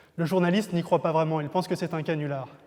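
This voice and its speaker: Fairly even intonation in a man's high voice. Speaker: novelist. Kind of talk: introduction to a reading, talk to camera.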